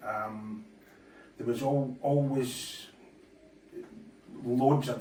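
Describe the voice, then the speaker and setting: In a Scottish accent, a man talks with fairly even intonation amid audible room echo and noticeable background noise. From Scotland. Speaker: darts player and presenter. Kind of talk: casual monologue. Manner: hesitant, many fillers.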